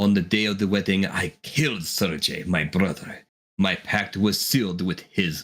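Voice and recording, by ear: Against a quiet background, the words are read aloud in a natural voice.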